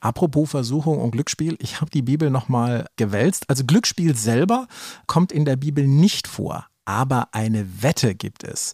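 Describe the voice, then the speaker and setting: A man with a medium pitch and a somewhat breathy voice talks at a moderate pace with lively intonation, recorded with a dry, close sound and no echo. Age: 50s. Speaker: podcast co-host, magazine editor. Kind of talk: casual chat.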